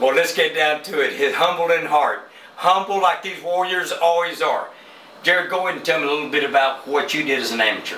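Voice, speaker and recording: This man talks at a fairly quick pace with a high pitch. Noticeable background noise and audible room echo come through on the recording. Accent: American. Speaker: boxing interviewer. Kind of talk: casual interview. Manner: animated.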